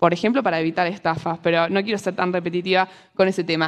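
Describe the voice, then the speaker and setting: A woman is speaking. She has a Rioplatense accent. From Argentina. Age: 20s. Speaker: economist and financial educator; speaker. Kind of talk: talk to a live audience. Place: stage. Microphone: lapel.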